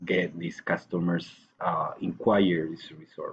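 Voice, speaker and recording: A man with a Colombian accent talks at a moderate pace. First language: Spanish. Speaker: language student and English teacher. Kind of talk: recorded course assignment answering questions. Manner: hesitant, with fillers.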